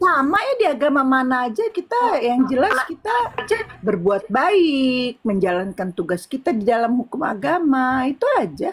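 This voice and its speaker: Her high-pitched voice swinging very widely in pitch, a woman speaks at a moderate pace with very even loudness over noticeable background noise. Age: 60s. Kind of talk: interfaith discussion. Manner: halting.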